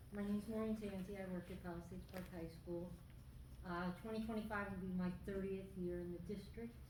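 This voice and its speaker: Speaking at a fairly quick pace, a woman uses a medium-pitched voice. Audible room echo and noticeable background noise are present. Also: fairly even intonation. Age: 60s. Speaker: school aide. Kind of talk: public comment at school board meeting. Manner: seated while speaking.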